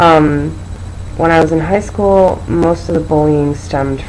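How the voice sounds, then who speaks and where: Lively intonation at a moderate pace with an American accent, plus audible room echo and noticeable background noise. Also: woman. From Seattle, Washington. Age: 20s. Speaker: video testimonial speaker. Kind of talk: testimony.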